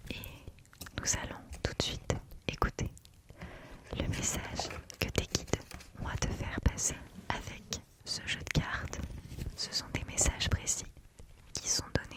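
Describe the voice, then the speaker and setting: A woman whispers at a fairly slow pace, with long, frequent pauses and a gentle, soothing tone. Noticeable background noise sits behind her. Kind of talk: ASMR tarot / spiritual guide roleplay. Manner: whispered, gentle, soothing.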